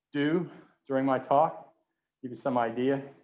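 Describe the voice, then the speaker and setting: A man talks at a moderate pace and medium pitch. His pitch varies in an ordinary way, with audible room echo. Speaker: research professor giving a public lecture. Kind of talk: lecture. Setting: virtual lecture from an empty auditorium podium. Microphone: sounds a little muffled behind the mask.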